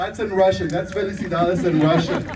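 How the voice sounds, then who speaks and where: A man speaks in an animated tone, with audible room echo and noticeable background noise. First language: Spanish. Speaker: school district administrator. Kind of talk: ceremony speech.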